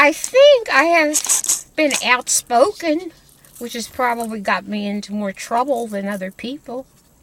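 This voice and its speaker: High-pitched and lively, a woman speaks at a fairly slow pace. Her loudness swings widely, with noticeable background noise around her. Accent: American. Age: 80s+. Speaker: retired family elder. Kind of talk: interview. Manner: halting, repeats words.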